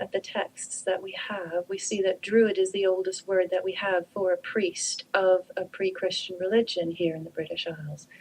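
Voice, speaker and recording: A woman with a Canadian accent and a plain, everyday voice speaks at a moderate pace and medium pitch, with ordinary pitch variation. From Canada. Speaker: druid priestess and author. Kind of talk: radio interview.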